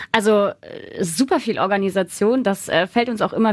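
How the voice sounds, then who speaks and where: A woman's fairly high voice shows ordinary pitch variation and is a plain, everyday voice. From Rhineland, Germany (Hersel, near Bonn). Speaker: Instagram costume creator. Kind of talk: casual interview.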